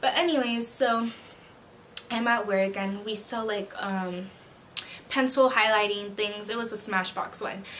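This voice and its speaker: A woman's fairly high-pitched voice with long, frequent pauses, amid audible room echo and noticeable background noise. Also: ordinary pitch variation. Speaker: vlogger, retail worker. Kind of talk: casual storytime chat. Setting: sit-down video at home. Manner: fast; animated.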